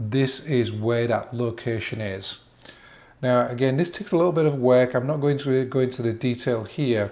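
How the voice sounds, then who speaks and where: Speaking with an English accent, a man uses a dark, mellow tone and ordinary pitch variation. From England. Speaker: genealogy tutorial presenter. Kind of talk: tutorial. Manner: casual, slightly halting.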